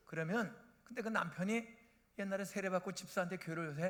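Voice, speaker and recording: A man's high-pitched voice with lively intonation. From South Korea, Bucheon/Incheon area. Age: 70s. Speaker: retired pastor. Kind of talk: sermon. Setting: church. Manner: animated.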